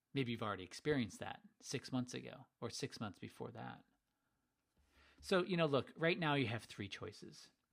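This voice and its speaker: Long, frequent pauses interrupt speech that otherwise keeps a moderate pace. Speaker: sales coach running a webinar. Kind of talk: webinar sales pitch. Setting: online webinar. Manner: energetic, animated.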